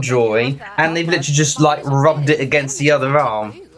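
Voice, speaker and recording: A man speaks with a British accent. There is noticeable background noise behind him. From Britain. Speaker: Eurovision livestream host. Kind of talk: live watchalong chat. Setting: livestream. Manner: quieter than usual.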